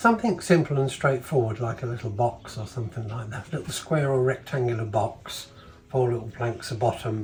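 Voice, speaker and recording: A man's medium-pitched, somewhat breathy voice, relaxed in tone, at a fairly quick pace with fairly even intonation. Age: 70s. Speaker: retired woodworker. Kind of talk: interview answer. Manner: relaxed, hesitant.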